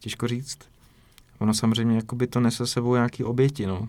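Recorded very cleanly against a silent background, a man speaks in a flat monotone. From Czech Republic, rural village. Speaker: filmmaker. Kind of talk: interview. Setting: basement rehearsal room.

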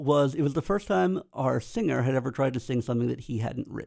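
Lively intonation colors a man's unremarkable speaking voice, set at a medium pitch. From US, Pennsylvania (Lancaster County). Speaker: computer science professor and bass player. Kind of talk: casual interview.

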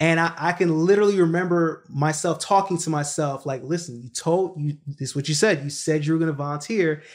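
A man with an ordinary speaking voice, fairly high in pitch and fairly even in intonation, with hardly any pauses, in a very clean recording with a silent background. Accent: American. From Brooklyn, New York, from a Jamaican family. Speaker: real estate entrepreneur. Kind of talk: interview.

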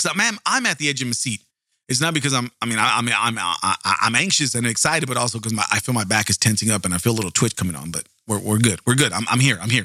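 A man speaks at a very fast pace with an American accent, his medium-pitched voice animated and bright with a sharp edge. The sound is dry and close, with no echo. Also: lively intonation. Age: 40s. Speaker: true crime podcast host. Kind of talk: casual storytelling monologue.

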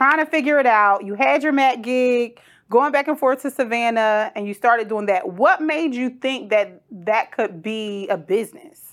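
A woman with an American accent and an unremarkable speaking voice talks at a moderate pace with hardly any pauses, her fairly high pitch moving in lively intonation over a very clean recording with a silent background. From Trenton, New Jersey. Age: 30s. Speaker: podcast host. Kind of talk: casual interview.

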